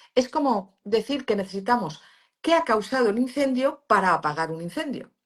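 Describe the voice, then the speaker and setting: A woman with a Valencian accent, a high voice and very wide pitch swings. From Valencia region, Spain. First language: Valencian (speaking Spanish). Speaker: pain therapist and university lecturer. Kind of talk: interview. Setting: live stream video call.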